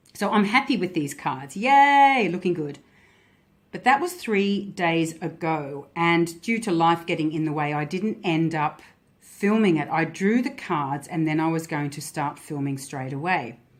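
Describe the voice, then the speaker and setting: Speaking with an Australian accent, a woman's intonation is lively. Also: fairly low pitch for a woman. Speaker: tarot and Lenormand card reader. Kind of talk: card reading vlog. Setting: handheld camera. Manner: pausing.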